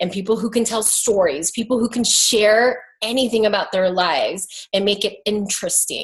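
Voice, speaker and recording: Over noticeable background noise, a woman talks fairly quickly in an animated tone. Her pitch is medium, with ordinary pitch variation. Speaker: makeup artist and business coach. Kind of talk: online coaching talk. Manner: fast when excited.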